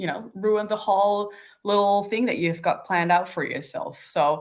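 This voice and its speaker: Using an unremarkable speaking voice, a woman talks at a medium pitch and moderate pace with ordinary pitch variation. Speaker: developer relations practitioner. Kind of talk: casual chat.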